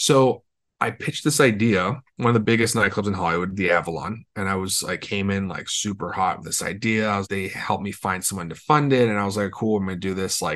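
Over a quiet background, a speaker with a Californian accent talks at a very fast pace with ordinary pitch variation. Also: man. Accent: Californian American. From Los Angeles. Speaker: entrepreneur and author. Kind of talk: interview conversation.

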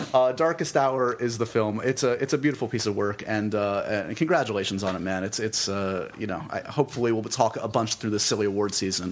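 This man talks at a fairly quick pace with hardly any pauses, at a medium pitch with ordinary variation. His is an unremarkable speaking voice. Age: 40s. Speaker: podcast host and film interviewer. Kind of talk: interview conversation; podcast intro. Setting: office.

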